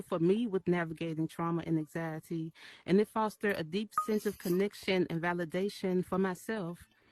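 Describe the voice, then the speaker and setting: With a Memphis accent, the speaker goes at a moderate pace with hardly any pauses and ordinary pitch variation, in a dry, close sound with no echo. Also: woman. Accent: Southern US (Memphis). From US South, Memphis, Tennessee. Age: 30s. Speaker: artist and community member. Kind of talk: short personal talk. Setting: virtual event in VR metaverse. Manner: halting, many fillers; shaky voice when speaking.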